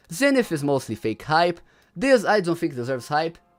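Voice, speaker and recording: With a non-native accent, a man speaks at a moderate pace in a high pitch with very wide pitch swings. The recording is very clean and the background silent. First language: not English. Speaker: gaming livestreamer. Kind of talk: livestream commentary. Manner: casual, halting with repetitions.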